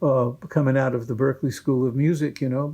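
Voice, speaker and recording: A man's fairly high-pitched voice, dark and mellow in tone, with an American accent at a moderate pace, very cleanly recorded against a silent background. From Massachusetts. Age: 80s+. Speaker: bluegrass musician. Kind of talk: interview answer. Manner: rambling, conversational.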